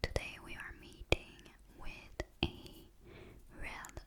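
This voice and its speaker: Against noticeable background noise, a whisper unfolds at a very slow pace. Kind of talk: ASMR story reading. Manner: whispered.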